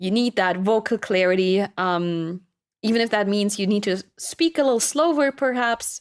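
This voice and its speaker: On a very clean recording with a silent background, a woman with a slight German accent speaks at a medium pitch and moderate pace, with ordinary pitch variation. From Germany. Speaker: streamer. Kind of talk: casual chat. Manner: animated.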